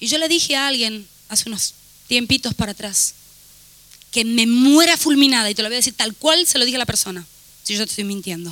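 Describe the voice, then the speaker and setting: Through noticeable background noise, a woman with a Rioplatense accent speaks in an animated tone at a fairly high pitch, with long, frequent pauses. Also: lively intonation. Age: 40s. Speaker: pastor. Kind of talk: sermon. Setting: church.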